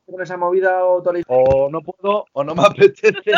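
The man's high-pitched voice has a dry, close sound with no echo. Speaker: rapper and music producer. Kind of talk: casual interview chat.

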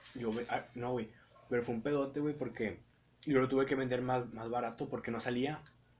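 Monotone, flat intonation at a moderate pace, in a Mexican accent. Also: man, medium pitch for a man. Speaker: podcast host. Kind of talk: casual chat.

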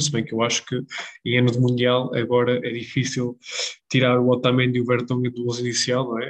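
This man's voice is pitched in the medium range. He talks fairly fast. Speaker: football podcast co-host. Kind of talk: casual chat.

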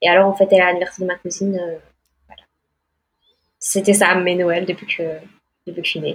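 A woman's medium-pitched, monotone, flat delivery at a moderate pace, with long, frequent pauses. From Belgium. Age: 20s. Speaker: green card lottery winner. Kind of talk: interview.

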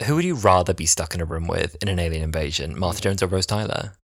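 This man's voice is very deep and low, with ordinary pitch variation. He talks at a very fast pace. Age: 20s. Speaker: podcast co-host. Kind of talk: casual chat. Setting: recording in person, same room. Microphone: one shared mic, speakers very close.

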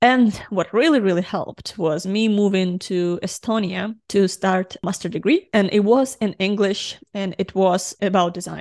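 A woman with a Ukrainian accent holds a medium pitch and fairly even intonation over a quiet background. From Ukraine. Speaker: UX designer and podcast co-host. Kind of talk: casual chat.

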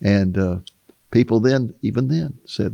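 This man's voice is fairly low and full of vocal fry, swinging very widely in pitch. He talks at a fairly slow pace, and the sound is dry and close with no echo. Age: 80s+. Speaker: author and Bible prophecy teacher. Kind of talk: interview.

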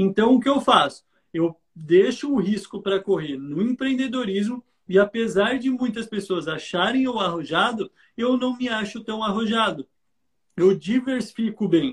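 Ordinary pitch variation accompanies a fairly slow pace of delivery. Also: man, high pitch for a man. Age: 20s. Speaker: investor and entrepreneur, investment mentor. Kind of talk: live stream interview. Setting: online live stream.

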